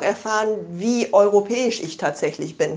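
A woman talks at a fairly slow pace. Her fairly high voice shows ordinary pitch variation. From Germany. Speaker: listener sending voice message. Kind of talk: personal testimony. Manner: halting.

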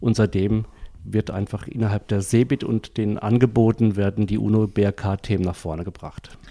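With a dry, close sound and no echo, a man speaks at a fairly low pitch in a dark, mellow tone with fairly even intonation. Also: moderate pace. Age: 50s. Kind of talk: interview. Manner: hesitant, many filler sounds.

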